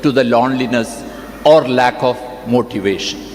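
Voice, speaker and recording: Amid noticeable background noise, a man talks at a fairly slow pace. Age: 70s. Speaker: doctor, convocation speaker. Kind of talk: convocation address.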